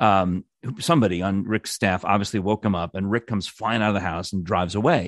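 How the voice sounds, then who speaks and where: A man with a plain, everyday voice talks at a fairly quick pace with an American accent over a quiet background. His pitch is fairly low, with ordinary pitch variation. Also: dry, close sound with no echo. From New York. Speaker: former radio producer. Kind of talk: casual chat.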